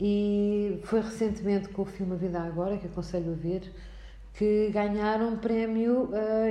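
A woman talks at a medium pitch and moderate pace, with audible room echo and noticeable background noise. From Portugal, Alcobaça. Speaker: lecturer. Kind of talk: interview. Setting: municipal library room.

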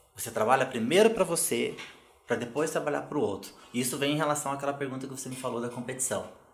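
Talking at a very fast pace, a man uses ordinary pitch variation, with audible room echo around his voice. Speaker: legal management consultant. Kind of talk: podcast interview.

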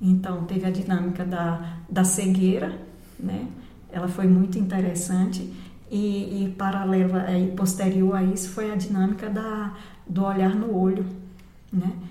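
Fairly slow, monotone, flat delivery with audible room echo. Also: woman, medium pitch for a woman. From Bahia, Brazil (Barreiras). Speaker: retired music teacher. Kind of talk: casual interview.

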